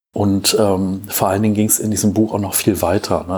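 Monotone, flat intonation runs through the speech. The man's pitch is fairly low. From Germany, Cologne. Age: 30s. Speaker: podcast host. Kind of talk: solo podcast monologue. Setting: home recording. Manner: hesitant, many fillers.

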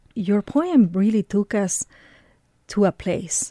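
A woman with a non-native accent and a dark, mellow tone speaks at a very slow pace. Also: dry, close sound with no echo, very clean recording, silent background. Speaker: radio host. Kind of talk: radio interview. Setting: studio.

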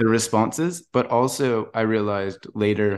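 A normal speaking voice with ordinary pitch variation. The background is quiet. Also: man. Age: 40s. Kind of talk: casual chat.

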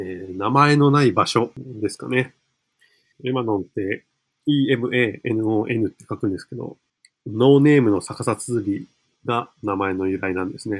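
A man with a normal speaking voice talks at a fairly slow pace and medium pitch, with ordinary pitch variation and big swings in loudness. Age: 20s. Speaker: community cafe operator. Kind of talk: podcast interview.

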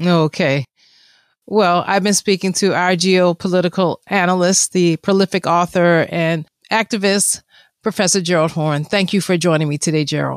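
In a plain, everyday voice, a woman speaks at a moderate pace with fairly low pitch, fairly even intonation and very even loudness, the sound dry and close with no echo on a very clean recording with a silent background. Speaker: radio host. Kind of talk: news headlines and interview.

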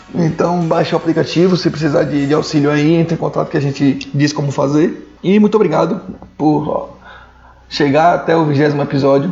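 Noticeable background noise sits behind a man speaking fairly quickly in a relaxed tone, his pitch fairly high and intonation fairly even. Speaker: podcast host. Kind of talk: casual chat. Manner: relaxed, slangy.

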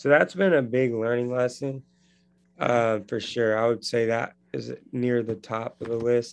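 Using a normal speaking voice, a man talks at a fairly slow pace and a medium pitch. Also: fairly even intonation. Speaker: edtech founder. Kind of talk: interview, conversational.

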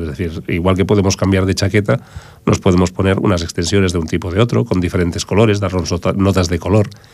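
A man speaks in a very deep, low pitch with ordinary pitch variation. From Barcelona, Raval. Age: 50s. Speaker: wig specialist. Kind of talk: radio interview. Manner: halting.

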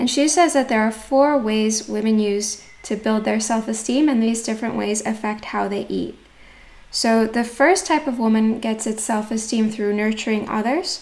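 A woman talks at a moderate pace in a fairly high pitch with ordinary pitch variation. It is a normal speaking voice. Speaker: podcast host. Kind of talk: scripted intro then interview.

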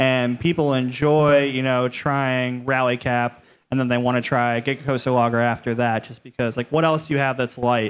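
A man with an American accent speaks in an unremarkable speaking voice at medium pitch. His pace is moderate and his intonation fairly even. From Cleveland, Ohio. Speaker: brewery marketing director. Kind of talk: casual panel discussion. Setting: live show with audience.

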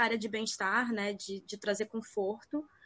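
Moderate pace, fairly even intonation, and an ordinary speaking voice. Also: woman. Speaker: veterinarian. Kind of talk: casual chat.

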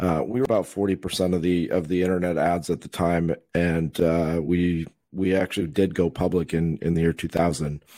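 With a very deep, low pitch and a dark, mellow tone, a man speaks at a moderate pace using fairly even intonation. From Minnesota, US. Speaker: venture capital investor. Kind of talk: interview.

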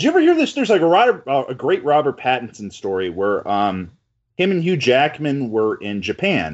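An animated man with fairly high pitch, very wide pitch swings and a moderate pace. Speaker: film writer. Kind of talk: casual chat. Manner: animated, joking.

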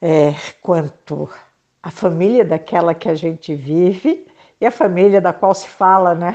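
A woman speaks in a dark, mellow tone at a fairly low pitch. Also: ordinary pitch variation, fairly slow pace, big swings in loudness. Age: 70s. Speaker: psychologist and author. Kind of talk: interview.

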